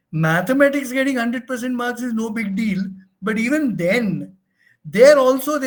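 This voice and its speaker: A man with an extremely high voice speaks at a moderate pace with ordinary pitch variation. Room echo is audible. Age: 70s. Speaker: research methodology trainer. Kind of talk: lecture. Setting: online session. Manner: halting.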